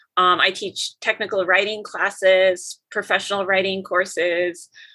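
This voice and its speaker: A woman speaks with an Upper Midwest accent. Her pitch is medium and her pace moderate. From Minnesota and North Dakota. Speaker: professor. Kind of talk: interview conversation.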